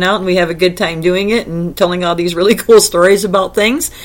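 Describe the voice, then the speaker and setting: This woman speaks at a medium pitch with ordinary pitch variation. Noticeable background noise sits behind her. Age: old. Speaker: podcast host. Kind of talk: casual interview. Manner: halting, many fillers.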